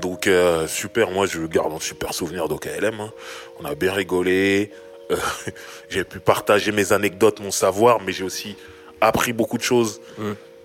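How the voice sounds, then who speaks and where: A man with a fairly low voice talks at a fairly slow pace, with long, frequent pauses and noticeable background noise. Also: ordinary pitch variation. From Sarcelles, Paris suburbs, France. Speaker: rapper and podcast host. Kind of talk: casual chat.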